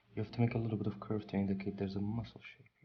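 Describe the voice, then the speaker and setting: At a very fast pace, a man with a non-native accent speaks in a fairly low, somewhat breathy voice with fairly even intonation. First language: not English. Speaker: drawing tutor, artist. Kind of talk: tutorial. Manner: halting.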